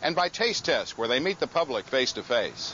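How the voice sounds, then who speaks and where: A man's fairly quick speech with lively intonation. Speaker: news reporter. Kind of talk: news report narration.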